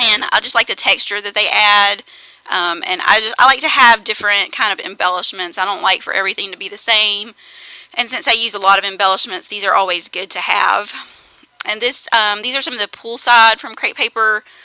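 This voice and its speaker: Against noticeable background noise, a woman speaks at a fairly quick pace with fairly even intonation and a dry, close sound with no echo. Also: medium pitch for a woman. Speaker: scrapbooking video creator. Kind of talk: tutorial voiceover. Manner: fast; hesitant, many fillers.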